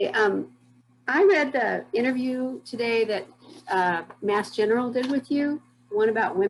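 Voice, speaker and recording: A woman's fairly high voice with lively intonation, at a moderate pace broken by long, frequent pauses. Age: 60s. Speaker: audience member asking a question. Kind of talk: casual question.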